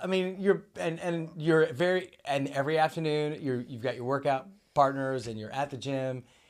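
A man with a normal speaking voice and an American accent talks at a moderate pace and fairly high pitch, with hardly any pauses, ordinary pitch variation and big swings in loudness. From Oklahoma. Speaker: podcast host. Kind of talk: casual chat.

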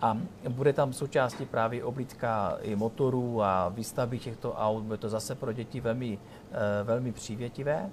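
This is a man with an ordinary speaking voice at a medium pitch. He speaks at a moderate pace with fairly even intonation. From Ostrava, Czech Republic. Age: 40s. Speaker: regional politician. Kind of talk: interview. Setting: restaurant in a tower.

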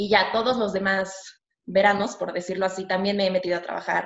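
A woman speaks at a moderate pace and a medium pitch, her intonation monotone and flat. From Mexico. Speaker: architecture student. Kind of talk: interview. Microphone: connection dropped briefly.

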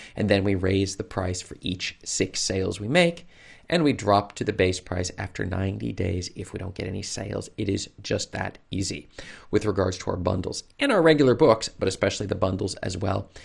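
A man with an American accent speaks in a fairly low, somewhat breathy voice with ordinary pitch variation. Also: moderate pace. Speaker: self-publishing coach / YouTuber. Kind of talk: tutorial.

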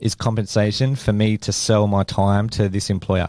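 On a very clean recording with a silent background, a man with an Australian accent speaks in a fairly low voice with a dark, mellow tone and fairly even intonation. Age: 30s. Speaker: business owner, podcast co-host. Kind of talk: casual chat.

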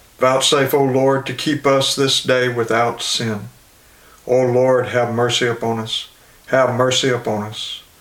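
Over noticeable background noise, a man at a medium pitch speaks at a fairly slow pace in a monotone, flat delivery. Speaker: Anglican service leader. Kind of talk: liturgical prayer service, read aloud from prayer book. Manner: solemn, reverent, formal.

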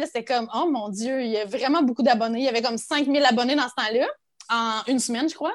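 A woman with a Quebec accent speaks at a fairly quick pace in a high pitch. The recording is very clean, with a silent background. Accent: Québécois. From Quebec, Abitibi. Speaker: teacher and content creator. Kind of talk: casual chat.

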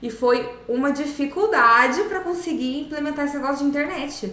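High-pitched woman with lively intonation at a fairly quick pace, noticeable background noise and audible room echo. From Brazil, São José dos Campos region (São Paulo state). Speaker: social media agency owner and content creator. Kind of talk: casual interview chat.

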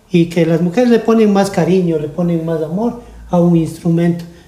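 Here a man talks with a high pitch. He keeps a fairly slow pace. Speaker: luthier and musician. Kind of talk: interview. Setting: studio.

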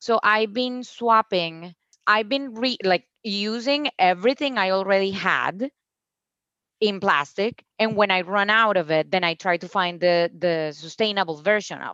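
A woman with a Spanish accent speaks at a fairly slow pace in a medium pitch, her tone bright and sharp and her loudness swinging widely, with a dry, close sound with no echo and a quiet background. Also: ordinary pitch variation. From Colombia, Cúcuta. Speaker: founder of a plastic-free store. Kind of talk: casual interview. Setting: video call.

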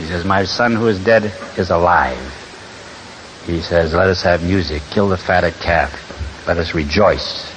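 A man is talking with noticeable background noise. The recording has audible room echo. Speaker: recovery speaker. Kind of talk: speaker talk to a meeting. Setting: stage with audience.

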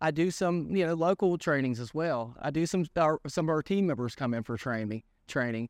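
A man with an Appalachian accent, fairly high in pitch, with lively intonation, a dry, close sound with no echo and a quiet background. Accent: West Virginia (Appalachian) American. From West Virginia, Greenbrier County. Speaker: fitness manager. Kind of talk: casual interview. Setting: studio.

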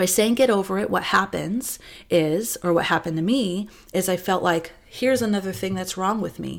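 Speaking at a moderate pace, a woman with a medium pitch uses lively intonation and some vocal fry. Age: 40s. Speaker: podcast host, abuse survivor. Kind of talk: personal testimony. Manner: halting.

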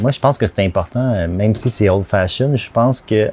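A man's fairly low-pitched voice in a Quebec accent, at a fairly quick pace. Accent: Québécois French. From Quebec, Montreal South Shore. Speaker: art director. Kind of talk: casual interview.

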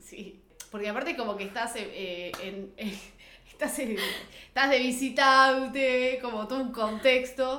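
A woman with a Rioplatense accent, high-pitched with ordinary pitch variation, at a fairly slow pace amid audible room echo. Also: big swings in loudness. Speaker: podcast co-host. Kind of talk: casual chat.

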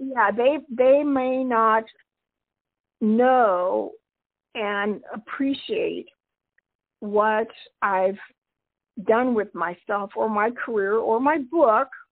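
A woman with a fairly high pitch speaks at a very slow pace. Her speech has long, frequent pauses. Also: ordinary pitch variation. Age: 70s. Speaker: retirement coach and author. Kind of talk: interview. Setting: remote call.

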